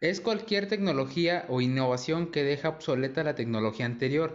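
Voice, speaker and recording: A man with an ordinary speaking voice. He talks at a moderate pace with ordinary pitch variation. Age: 20s. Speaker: university student. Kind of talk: school presentation reading.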